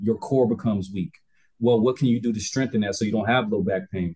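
Speaking at a very fast pace, a man with an American accent has a medium pitch and a dark, mellow, somewhat breathy tone. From US South, Albany, Georgia. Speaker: wellness coach and yoga instructor. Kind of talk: casual interview chat.

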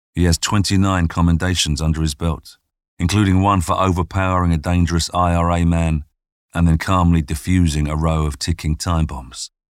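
A man's very deep, low voice in a dramatic tone, with fairly even intonation and a moderate pace, on a very clean recording with a silent background. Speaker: narrator. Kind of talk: true-crime narration. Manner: suspenseful, hushed storytelling; measured, dramatic pacing.

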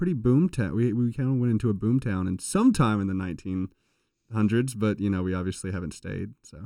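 A man talks at a very fast pace with an American accent. His voice sits at a medium pitch and has a dark, mellow tone. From rural North Carolina. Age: young. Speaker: engineering student. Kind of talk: casual chat. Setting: studio.

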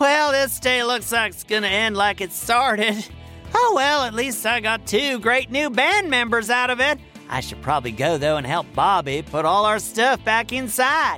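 A man performs a put-on character voice, high in pitch, at a moderate pace. Clear music plays in the background. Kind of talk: kids' comedy audio drama. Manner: exasperated, theatrical, self-important.

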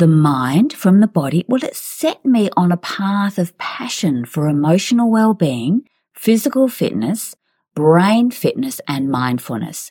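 Speaking at a fairly slow pace with an Australian accent, a woman has a dark, mellow tone at medium pitch, her voice swinging very widely up and down in a dry, close recording with no echo. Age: 60s. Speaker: podcast host, fitness trainer and psychologist. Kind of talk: personal storytelling monologue.

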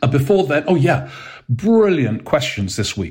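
A man talks with a somewhat breathy voice. The recording is very clean, with total background silence. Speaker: political podcast host. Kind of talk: casual monologue. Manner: calm.

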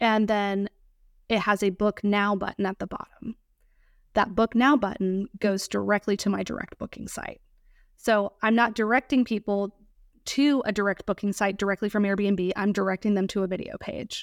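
A woman with an American accent speaks in an ordinary speaking voice at a medium pitch and moderate pace, with fairly even intonation. The recording is very clean with a silent background and a dry, close sound with no echo. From US South, Georgia and Virginia. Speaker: short-term rental property manager and coach. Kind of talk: podcast interview.

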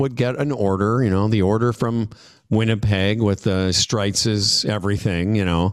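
A man with a Canadian accent talks at a moderate pace and medium pitch in a normal speaking voice. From Saskatchewan, Canada (Moose Jaw). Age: 60s. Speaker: radio host and comedian. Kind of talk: interview.

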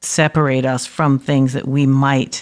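With an American accent, a woman speaks at a fairly slow pace in a very deep, low pitch and a monotone, flat intonation. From New York City (Harlem and the Bronx). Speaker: professor. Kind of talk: interview conversation. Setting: remote from home.

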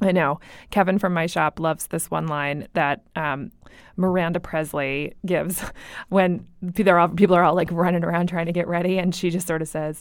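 Speaking in a Buffalo accent, a woman with a fairly low pitch keeps a moderate pace and a monotone, flat intonation in a very clean recording with a silent background. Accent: Buffalo, New York. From Buffalo, New York. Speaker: podcast co-host. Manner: casual, chatty, joking.

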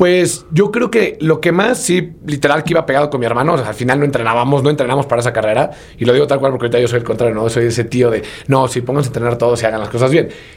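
A man with a Mexican accent speaks at a medium pitch with ordinary pitch variation. He talks at a very fast pace over noticeable background noise. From Mexico, Puebla. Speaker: marathon runner and running entrepreneur. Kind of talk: casual interview chat.

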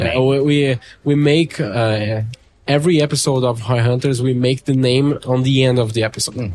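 A man with a Portuguese accent at a moderate pace and with fairly even intonation, music in the background. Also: medium pitch for a man. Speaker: podcast host. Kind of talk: interview. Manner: halting.

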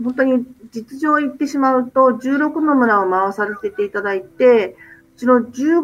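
A woman speaks at a moderate pace in a high pitch. Her pitch swings very widely. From Japan. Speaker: doctor and NGO leader. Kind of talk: radio interview.

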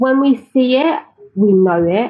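A woman speaks with a London accent. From East London (Tower Hamlets), England. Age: 30s. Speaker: publisher and agency founder. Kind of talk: interview conversation.

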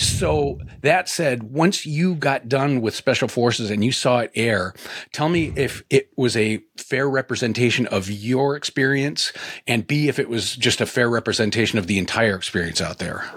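This man has a normal speaking voice. His intonation is lively. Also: medium pitch for a man, moderate pace. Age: 50s. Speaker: podcast host. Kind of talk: interview; scripted introduction.

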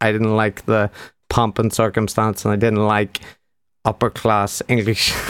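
A man with a Northern Irish accent speaks at a fairly slow pace and fairly low pitch, in a monotone, flat intonation with long, frequent pauses. His loudness is very even, and the recording is very clean, with a silent background and a dry, close sound with no echo. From Northern Ireland. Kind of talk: casual interview chat.

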